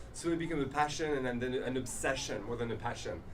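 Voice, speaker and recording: A man with a French accent talks at a very fast pace amid audible room echo and noticeable background noise. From France, Paris. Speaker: language teacher. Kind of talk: lecture. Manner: halting.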